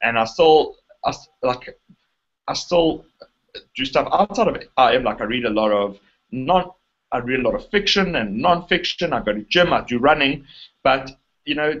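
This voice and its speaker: With a South African accent, a man speaks at a moderate pace in a fairly high pitch, his intonation lively and his pauses long and frequent. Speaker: internet marketer. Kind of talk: interview conversation. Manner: halting, many fillers and restarts.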